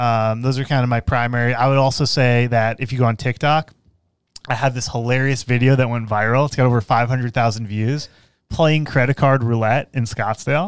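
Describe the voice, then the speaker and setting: Recorded very cleanly against a silent background, a man with a normal speaking voice talks at medium pitch and a moderate pace, his intonation fairly even. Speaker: business coach and podcast host. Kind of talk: casual interview conversation; show outro. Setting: studio.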